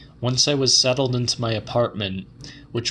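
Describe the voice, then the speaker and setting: A man with fairly even intonation amid noticeable background noise. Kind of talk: audiobook reading of a horror short story.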